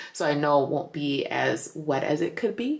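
Ordinary pitch variation runs through an unremarkable speaking voice. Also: woman. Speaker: travel vlogger. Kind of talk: casual vlog chat. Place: home room. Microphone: phone near.

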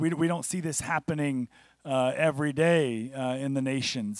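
A man at a moderate pace with ordinary pitch variation, dry sound with no echo, and a quiet background. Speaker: guest pastor. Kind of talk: sermon. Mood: warm, personal introduction. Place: church. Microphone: handheld.

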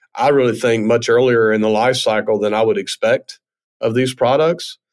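A man is speaking. He has a Southern US accent. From US South, northwest Mississippi. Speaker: fintech CEO. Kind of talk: interview.

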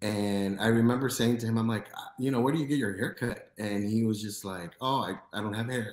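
Speaking at a fairly quick pace with an American accent, a man is heard with audible room echo. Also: fairly even intonation. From US Midwest, Chicago. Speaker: podcast host. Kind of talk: casual interview. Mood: friendly, smiling. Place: home room.

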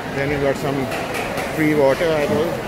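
Crowd noise murmurs in the background of this dry recording with no echo. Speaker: travel vlogger. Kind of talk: casual vlog commentary. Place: market. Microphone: phone near.

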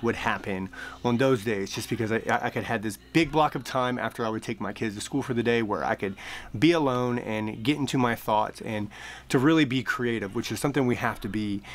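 His pitch shifts in an ordinary way. The man speaks fairly quickly. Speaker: coach. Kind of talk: casual vlog chat. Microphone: phone near.

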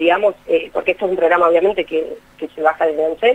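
A woman talks with a Rioplatense accent. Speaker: municipal official. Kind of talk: interview. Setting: phone call. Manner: formal.

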